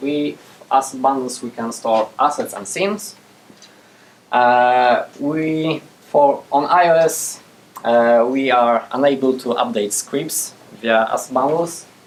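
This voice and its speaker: A man with a Polish accent at a medium pitch, with ordinary pitch variation and a very slow pace. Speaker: game programmer giving a conference talk. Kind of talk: technical talk with Q&A. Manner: hesitant, many fillers. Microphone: speaking without a mic.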